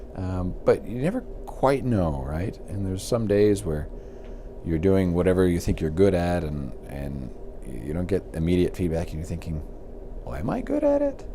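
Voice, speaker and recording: A quiet man's voice, very deep and low, with ordinary pitch variation at a moderate pace and audible room echo. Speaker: university professor. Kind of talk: casual interview. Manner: halting, many repeated words; quiet and reserved.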